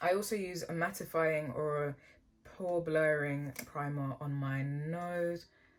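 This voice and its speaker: A woman with a very deep, low pitch speaks with fairly even intonation over noticeable background noise. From England. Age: young. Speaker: beauty YouTuber; beauty vlogger. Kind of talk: makeup tutorial with Q&A. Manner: casual. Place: home room.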